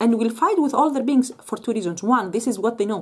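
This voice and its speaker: A woman with a Greek accent speaks at a fairly high pitch. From Greece. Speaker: Islamic commentator. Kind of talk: monologue answering a viewer question. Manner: halting, with many repeated words; animated.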